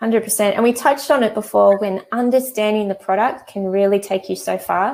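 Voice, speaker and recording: A woman speaks fairly quickly in an Australian accent, with hardly any pauses. Her pitch is fairly high and her intonation fairly even. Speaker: e-commerce trainer; host of a live chat. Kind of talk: live webinar tutorial. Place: home room. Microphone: earbuds.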